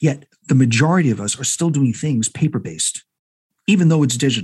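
A somewhat breathy man speaks at a fairly quick pace with very wide pitch swings. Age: old. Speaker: architect. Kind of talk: casual chat. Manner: halting.

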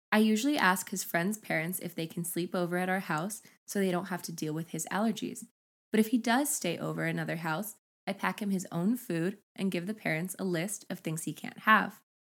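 Animated in tone, a woman with a medium pitch and vocal fry talks at a fairly quick pace with ordinary pitch variation, in a very clean recording with a silent background. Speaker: podcast co-host. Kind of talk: casual chat and reading stories aloud.

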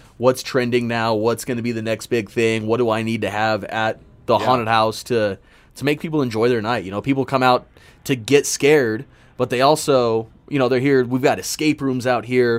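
At a fairly quick pace, an ordinary speaking voice with an American accent holds fairly even intonation. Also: man, medium pitch for a man. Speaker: haunted house owner. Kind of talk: casual interview chat. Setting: underground mine shaft set.

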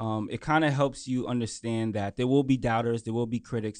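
Using a plain, everyday voice, a man speaks with an American accent. His pitch is medium and his pace fairly quick. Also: quiet background. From Brooklyn, New York. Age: young. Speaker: entrepreneur and finance author. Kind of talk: interview. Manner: casual, many fillers.

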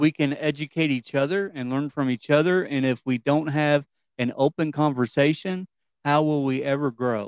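A man with a Kentucky accent, fairly high-pitched, in a dry, close sound with no echo and a very clean recording over a silent background. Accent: Kentucky Southern. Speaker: podcast host. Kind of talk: political discussion; podcast intro.

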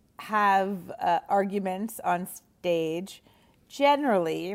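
A woman speaks with a Canadian accent. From Montreal, Canada. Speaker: comedian. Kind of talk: casual interview.

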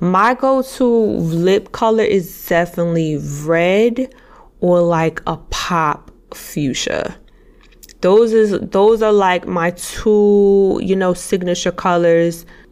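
A woman talks at a very slow pace in a medium pitch. Her pitch varies in an ordinary way. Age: 30s. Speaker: podcast host and fashion stylist. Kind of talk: casual solo podcast talk. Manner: animated.

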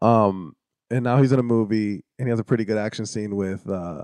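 A man's voice, an ordinary speaking voice, fairly low in pitch, at a moderate pace with ordinary pitch variation, dry and close with no echo over a quiet background. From US, Puerto Rican family. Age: 30s. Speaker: actor and podcaster. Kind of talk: casual chat. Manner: casual, profane.

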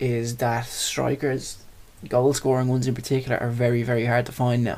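A man speaks in an Irish accent at a fairly quick pace. His pitch sits in the medium range. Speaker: sports podcast co-host. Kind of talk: casual chat.

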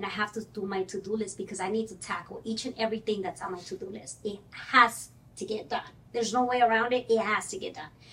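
A woman talks at a very fast pace in a Spanish accent. Her pitch is fairly high, and her intonation stays fairly even. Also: big swings in loudness. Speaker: mortgage broker. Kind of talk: casual chat.

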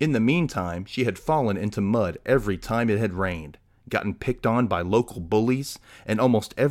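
An unforced reading voice.

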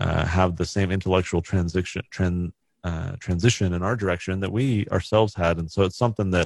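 This man has a very deep, low pitch, ordinary pitch variation and an American accent. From California. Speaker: author and nonprofit activist. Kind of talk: interview conversation.

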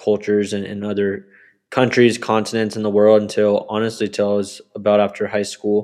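With an American accent, a man speaks in a fairly low pitch and a monotone, flat intonation. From US (military family, mostly Texas). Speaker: travel photographer. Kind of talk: casual interview.

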